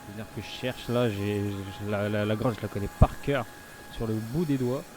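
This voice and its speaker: A man with a fairly low pitch talks at a very fast pace. His pitch varies in an ordinary way. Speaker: gaming youtuber. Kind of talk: let's play commentary. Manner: halting, many filler sounds.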